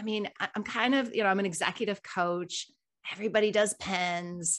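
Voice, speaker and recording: A woman with a normal speaking voice, fairly high-pitched and fairly quick, on a very clean recording with a silent background. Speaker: podcast co-host. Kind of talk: casual conversational livestream.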